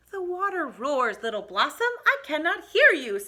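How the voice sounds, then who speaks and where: This put-on character voice swings very widely in pitch. The pace stays moderate. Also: woman, high pitch for a woman. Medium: read story. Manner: brisk, motherly.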